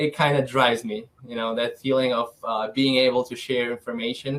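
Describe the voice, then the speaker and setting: A man's medium-pitched voice with a Ukrainian accent, at a moderate pace. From Ukraine (south, then Kyiv). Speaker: financial advisor. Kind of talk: interview. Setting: podcast.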